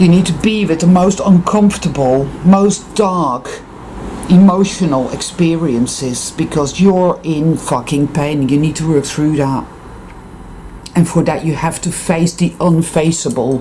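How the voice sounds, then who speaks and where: Against noticeable background noise, a woman with a Dutch accent talks at a fairly low pitch and a fairly slow pace. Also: ordinary pitch variation. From Netherlands. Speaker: spiritual vlogger. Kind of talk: casual vlog monologue. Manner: emphatic.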